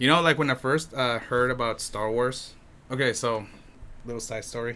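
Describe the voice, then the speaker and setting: A man speaks at a moderate pace with a Spanish accent, his pitch medium and his tone bright and sharp. His intonation stays fairly even. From Mexico. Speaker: podcast host. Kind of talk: casual chat. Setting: filmed on camera indoors. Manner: halting, many fillers.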